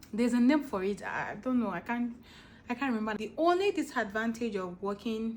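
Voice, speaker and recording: A woman's somewhat breathy, fairly high voice with ordinary pitch variation. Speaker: vlogger. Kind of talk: casual chat.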